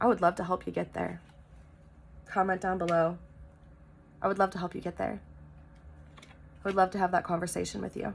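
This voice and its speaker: A woman speaks at a fairly quick pace. She leaves long, frequent pauses. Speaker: tarot reader. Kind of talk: spiritual tarot reading monologue. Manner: loud; energetic.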